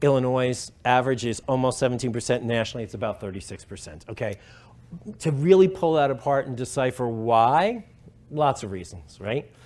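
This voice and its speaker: With a New York accent, a man of medium pitch talks at a fairly quick pace, his intonation lively and his loudness swinging widely. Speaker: professor. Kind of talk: conference talk. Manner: fast; hesitant fillers.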